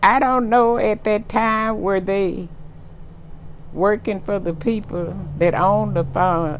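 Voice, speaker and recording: A woman with a Texas accent speaks at a very slow pace. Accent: Southern US (Texas). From Texas, USA. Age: 80s+. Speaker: oral history interviewee. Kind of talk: interview answer.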